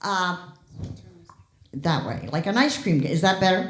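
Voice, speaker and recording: A woman speaks loudly with vocal fry, and audible room echo surrounds her voice. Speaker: health educator giving a talk on fall prevention. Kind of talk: public talk.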